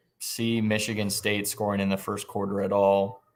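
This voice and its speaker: A man speaks with a Midwestern US accent. His pitch sits fairly low. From southwest Iowa. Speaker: sports betting podcast host. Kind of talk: casual chat. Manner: hesitant, many fillers.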